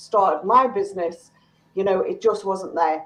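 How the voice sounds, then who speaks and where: A woman speaks at a moderate pace and a medium pitch in a flat, monotone way. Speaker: small business coach. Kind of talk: online panel chat.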